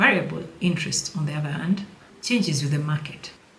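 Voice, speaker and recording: In a non-native accent, a woman speaks at a fairly low pitch with ordinary pitch variation, and audible room echo surrounds her voice. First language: not English. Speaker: personal finance educator. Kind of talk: tutorial. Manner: casual, playful.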